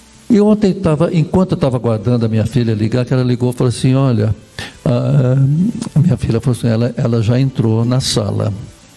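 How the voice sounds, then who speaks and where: Long, frequent pauses from a medium-pitched man with lively intonation and very even loudness, over noticeable background noise. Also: fairly quick pace. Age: 70s. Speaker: deacon and program host. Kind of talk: interview. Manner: halting.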